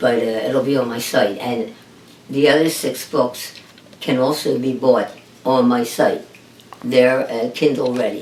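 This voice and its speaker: Fairly slow, flat, monotone speech with long, frequent pauses and noticeable background noise. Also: woman, very deep, low pitch for a woman. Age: 70s. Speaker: author. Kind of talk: interview. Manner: hesitant, many fillers.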